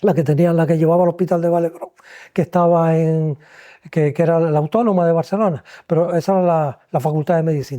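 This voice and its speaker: A man speaks very fast in a high, dark, mellow voice. His loudness stays very even. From Las Palmas de Gran Canaria, Canary Islands, Spain. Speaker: retired ENT doctor (otorhinolaryngologist). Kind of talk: podcast interview answer, reminiscing.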